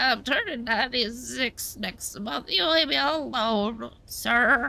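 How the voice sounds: Using a put-on character voice, a woman speaks at a fairly slow pace and a high pitch.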